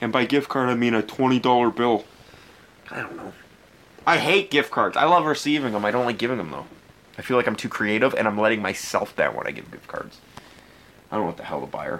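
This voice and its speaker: Amid noticeable background noise, a man with a medium pitch talks very fast with lively intonation, big swings in loudness, and long, frequent pauses. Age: 20s. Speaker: podcast host and pro wrestler. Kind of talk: casual solo chat.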